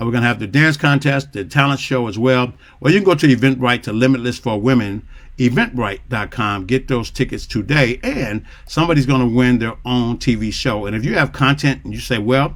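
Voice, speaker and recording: A man speaks in an animated tone at a fairly quick pace. His pitch is medium, with ordinary pitch variation. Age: 60s. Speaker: talk show host. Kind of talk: casual interview chat.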